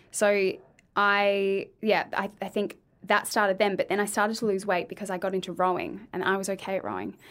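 A woman with an Australian accent speaks at a fairly quick pace and a medium pitch. Her intonation is fairly even, and the recording is very clean with a silent background. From Australia, Adelaide. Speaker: speech pathologist and former beauty pageant winner. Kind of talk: casual chat.

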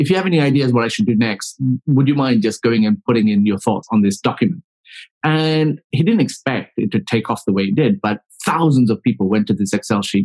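An unremarkable speaking voice: a man at medium pitch, talking at a fairly quick pace with lively intonation. His loudness stays very even, and the sound is dry and close with no echo. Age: 40s. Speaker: public relations consultant. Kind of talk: casual chat.

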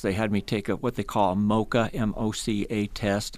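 Recorded very cleanly against a silent background, a man with a Midwestern US accent speaks in a fairly low pitch. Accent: US Midwest. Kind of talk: radio interview. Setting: studio.

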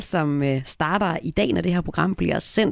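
A woman speaks in an ordinary speaking voice, at a fairly slow pace with lively intonation. The recording is very clean, with a silent background. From rural Denmark. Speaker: radio host. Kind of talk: radio interview and music show hosting.

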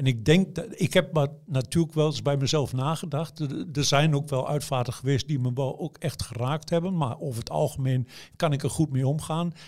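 With a fairly high pitch and a somewhat breathy quality, a man talks at a moderate pace with ordinary pitch variation on a very clean recording with a silent background. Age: 60s. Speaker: newspaper journalist writing obituary stories. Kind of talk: interview. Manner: hesitant, many fillers.

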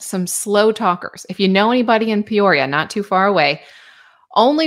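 At a moderate pace, a woman speaks in a plain, everyday voice with a medium pitch. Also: very clean recording, silent background. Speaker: weather forecaster. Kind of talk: weather forecast.

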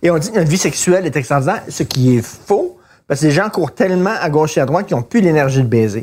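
Speaking at a very fast pace, a man uses lively intonation. His pitch is fairly high. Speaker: podcast co-host. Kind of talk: casual chat.

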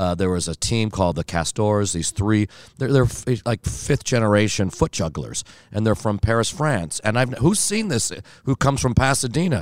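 A man with a normal speaking voice and a fairly low pitch talks at a moderate pace with lively intonation, the sound dry and close with no echo on a very clean recording with a silent background. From Italian-American family. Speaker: cabaret actor and comedian. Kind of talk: casual interview.

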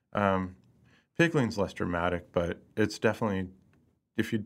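Recorded very cleanly against a silent background, a man speaks in a fairly low pitch with ordinary pitch variation. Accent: American. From US Midwest, Lee's Summit, Missouri (Kansas City area). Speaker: chef. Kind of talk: interview. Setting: studio.

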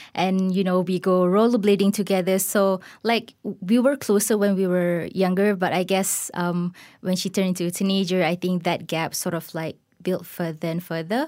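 A woman with a plain, everyday voice of medium pitch speaks at a moderate pace with fairly even intonation on a very clean recording with a silent background. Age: 30s. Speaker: corporate marketer sharing personal grief story. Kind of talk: personal testimony interview.

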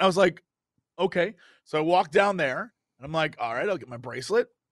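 With a raised, projected voice at a high pitch, a man talks at a fairly quick pace, the sound dry and close with no echo over a quiet background. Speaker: podcast co-host. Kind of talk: casual chat. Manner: playful.

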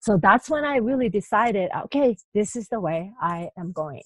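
Recorded dry and close with no echo, a woman speaks at a fairly slow pace in a somewhat breathy voice. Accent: Japanese. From Japan. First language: Japanese. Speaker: life coach. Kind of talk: interview.

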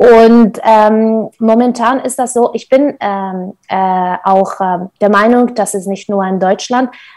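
A woman with a Kurdish accent, medium in pitch, with ordinary pitch variation. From Syria, Kurdish north (Qamishli). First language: Kurdish (speaking German). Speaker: nonprofit founder. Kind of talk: interview. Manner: hesitant, many filler sounds.

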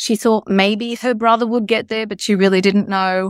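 A woman speaks with an Australian accent and fairly even intonation. The recording is very clean and dry, with a silent background, a close sound and no echo. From Australia, Sydney northern beaches. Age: 60s. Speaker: novelist. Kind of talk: interview.

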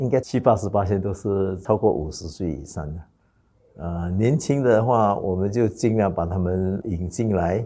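Here is a man with a dark, mellow tone and a fairly low pitch. He moves at a moderate pace with ordinary pitch variation. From Singapore. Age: 60s. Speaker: clan association president. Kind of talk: interview. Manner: hesitant with fillers.

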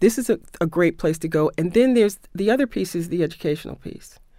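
In a very clean recording with a silent background, a woman with an American accent uses a normal speaking voice, fairly low in pitch. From New York City. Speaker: arts agency executive and novelist. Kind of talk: radio interview.

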